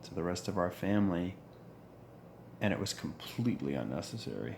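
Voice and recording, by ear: Lively intonation marks this man's voice, which has a slightly mellow tone and vocal fry.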